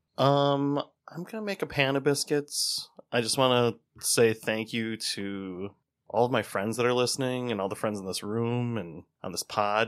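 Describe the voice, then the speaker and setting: With a Wisconsin accent, a man talks at a medium pitch and moderate pace, using ordinary pitch variation. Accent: Upper Midwest (Wisconsin). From Wisconsin, Racine. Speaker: podcast co-host. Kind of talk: casual chat.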